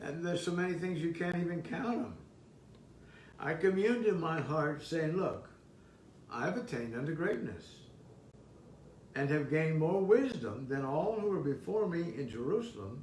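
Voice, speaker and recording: A man with an American accent speaks at a moderate pace in a high pitch, with lively intonation and long, frequent pauses. Noticeable background noise and audible room echo come through. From Southern California. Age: 80s+. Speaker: preacher. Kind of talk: sermon. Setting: online service streamed on zoom and facebook. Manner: halting, repeats words.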